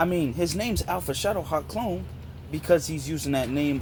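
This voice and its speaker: Vocal fry runs through a man's fairly high-pitched voice. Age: 20s. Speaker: YouTuber. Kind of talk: response video rant. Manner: animated.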